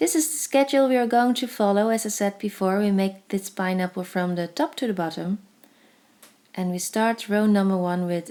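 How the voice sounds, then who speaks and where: A dark, mellow voice with a Dutch accent, ordinary pitch variation and a moderate pace, in a very clean recording with a silent background. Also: woman. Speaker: crafts tutorial creator. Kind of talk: tutorial voice-over. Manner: hesitant, with fillers.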